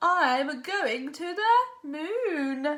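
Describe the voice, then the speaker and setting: A woman puts on a character voice in a high pitch. Her pitch swings very widely. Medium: read story.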